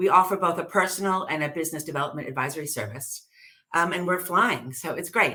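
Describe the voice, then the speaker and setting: She speaks with an American accent. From US. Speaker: business advisor. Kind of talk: interview.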